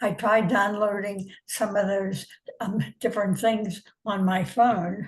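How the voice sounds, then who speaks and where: The voice is somewhat breathy and monotone, with flat intonation, moving at a very slow pace. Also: woman, medium pitch for a woman. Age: 90s. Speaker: tech support customer. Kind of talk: casual chat. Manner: halting, repetitive.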